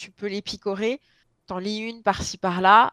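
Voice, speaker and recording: Recorded very cleanly over a silent background with a dry, close sound and no echo, a woman with a plain, everyday voice speaks at a medium pitch and a fairly slow pace. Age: 30s. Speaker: book blogger. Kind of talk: casual chat.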